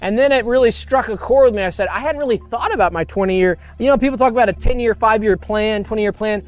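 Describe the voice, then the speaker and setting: Over noticeable background noise, someone talks at a very fast pace with hardly any pauses and ordinary pitch variation. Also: man, high pitch for a man. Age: 30s. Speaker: live stream co-host. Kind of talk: casual live stream chat. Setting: live stream. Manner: animated.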